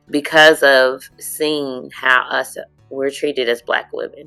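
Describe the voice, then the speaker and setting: Music plays in the background behind a woman with a very deep, low pitch. Her intonation is monotone and flat. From Lexington, Kentucky. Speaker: community advocate. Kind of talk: interview answer.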